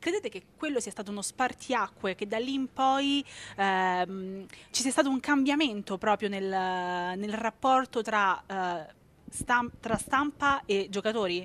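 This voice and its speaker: A woman speaks with a fairly high pitch at a fairly slow pace, in an ordinary speaking voice. Her loudness swings widely, and her pitch varies in an ordinary way. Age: 30s. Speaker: interviewer. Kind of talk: interview. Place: hall.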